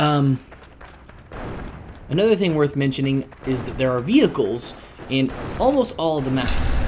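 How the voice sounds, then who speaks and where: A man with a fairly high pitch speaks at a moderate pace with ordinary pitch variation, leaving long, frequent pauses over noticeable background noise. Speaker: gaming YouTuber. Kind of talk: gameplay commentary. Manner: casual, animated; whispering.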